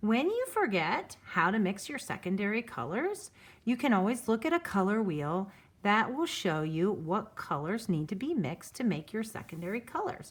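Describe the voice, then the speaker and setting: Somewhat breathy, a woman speaks at a fairly high pitch with very wide pitch swings. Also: moderate pace. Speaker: art teacher. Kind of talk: tutorial.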